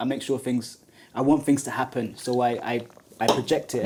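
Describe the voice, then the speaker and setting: A man's medium-pitched voice, dark and mellow in tone, with a London accent. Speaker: podcast host. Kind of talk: podcast interview. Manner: halting, many fillers.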